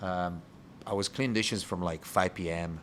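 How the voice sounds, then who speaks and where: A man talks at a moderate pace with an Italian accent. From Italy (Rome). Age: 30s. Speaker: bar owner and bartender. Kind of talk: interview podcast conversation. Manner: halting.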